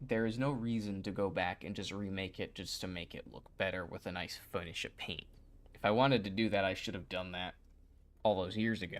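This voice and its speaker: In a very clean recording with a silent background, a man speaks quietly at a fairly low pitch. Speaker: YouTube creator streaming. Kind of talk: casual livestream chat.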